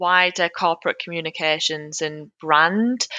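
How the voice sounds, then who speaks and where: A woman with a Geordie accent, a bright, sharp tone and ordinary pitch variation, against a quiet background. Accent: Geordie northeast English. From Newcastle, northeast England. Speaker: charity communications manager. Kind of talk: casual interview chat. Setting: video or phone call.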